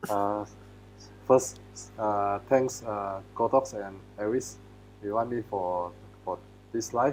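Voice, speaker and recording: A man with a Malaysian accent speaks at a fairly slow pace in a fairly low pitch. Music plays in the background. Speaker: photographer. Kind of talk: live webinar presentation. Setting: live video stream. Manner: halting, many fillers.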